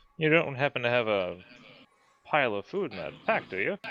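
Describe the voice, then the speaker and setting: Doing a put-on character voice, a man speaks gruffly at a medium pitch and a fairly quick pace, with very wide pitch swings. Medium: actual play. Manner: gruff, hearty, blunt.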